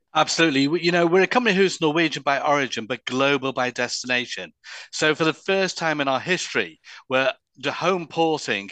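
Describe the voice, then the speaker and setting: An unremarkable speaking voice moves at a moderate pace with lively intonation. The sound is dry and close, without echo. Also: man. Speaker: cruise company executive. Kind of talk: interview, sales pitch.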